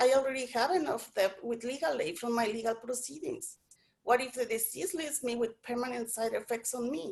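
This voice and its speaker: The speech moves at a fairly quick pace with lively intonation, in a Spanish accent. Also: woman, high pitch for a woman. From Mexico. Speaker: immigrant woman sharing experience. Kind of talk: testimony. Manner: halting, frequent self-repeats.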